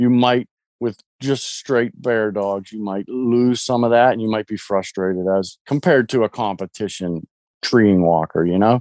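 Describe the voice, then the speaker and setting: A man with an American accent and a normal speaking voice talks at a moderate pace with a fairly low pitch and ordinary pitch variation, in a very clean recording with a silent background and a dry, close sound with no echo. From US, Pittsburgh, Pennsylvania. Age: 40s. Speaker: hound dog hunter, military veteran. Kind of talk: casual chat.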